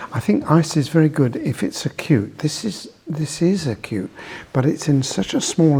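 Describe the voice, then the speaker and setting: Lively intonation carries the moderate-paced speech over noticeable background noise. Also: man. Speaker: osteopath. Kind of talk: professional discussion.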